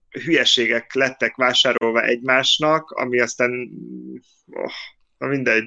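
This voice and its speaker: Speaking at medium pitch, a man has a bright, sharp tone and fairly even intonation. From Hungary. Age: 40s. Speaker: podcast co-host. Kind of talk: casual chat. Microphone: phone mic after laptop volume problems.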